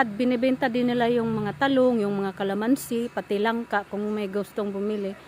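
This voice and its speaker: This woman's pitch is fairly high. Her pitch variation is ordinary. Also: hardly any pauses. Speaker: vlogger. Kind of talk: casual vlog talk while touring a garden. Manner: excited, animated.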